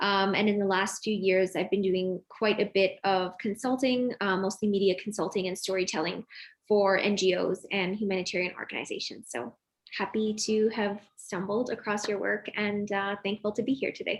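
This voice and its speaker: In a normal speaking voice, a woman with a Canadian accent talks at a moderate pace and medium pitch, her intonation fairly even, against a quiet background. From Toronto, Canada. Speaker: journalist. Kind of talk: self-introduction.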